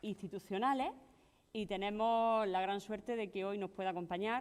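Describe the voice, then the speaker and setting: A woman with a normal speaking voice keeps a medium pitch and fairly even intonation. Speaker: event moderator. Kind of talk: conference introduction.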